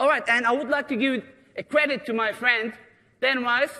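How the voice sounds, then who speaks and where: A man's raised, projected voice with an extremely high pitch, an animated, bright, sharp tone, ordinary pitch variation, a moderate pace and a non-native accent, over a quiet background. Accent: noticeable foreign. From Germany, Turkish parents. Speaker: security lecturer. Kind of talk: conference presentation. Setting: stage with audience.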